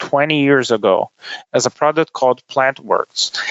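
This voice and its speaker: A man speaks with a Brazilian accent at a moderate pace. His pitch is fairly high. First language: Portuguese. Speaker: tech company executive. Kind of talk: podcast interview. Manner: hesitant, many fillers.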